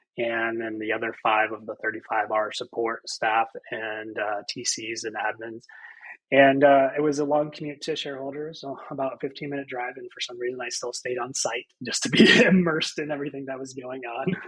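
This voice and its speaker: An unremarkable speaking voice moves at a fairly quick pace with ordinary pitch variation and big swings in loudness. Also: man, medium pitch for a man. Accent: American. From Central Florida, USA. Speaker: real estate agent and team leader. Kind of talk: podcast interview answer.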